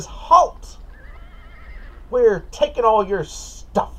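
A man performs a put-on character voice. There is light background noise. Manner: demanding, menacing.

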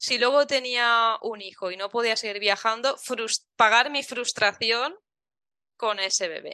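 Against a quiet background, a woman speaks in a fairly high pitch with a bright, sharp tone, ordinary pitch variation and a dry, close sound with no echo. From Valencia, Spain. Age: 30s. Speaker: travel blogger and mother. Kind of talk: casual interview chat.

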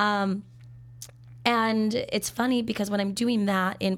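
A woman with an American accent speaks at a medium pitch. Her intonation is monotone and flat. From Minnesota. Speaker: sommelier. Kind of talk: casual interview. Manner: talkative; laughs often.

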